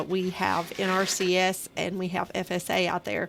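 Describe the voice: Her pitch falls in the medium range. This woman talks with a Southern US accent. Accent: Southern twang.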